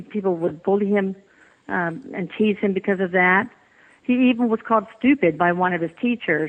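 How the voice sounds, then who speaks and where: With a Texas accent, a woman speaks at a moderate pace using lively intonation. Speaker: physician and author, bereaved mother. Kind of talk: interview.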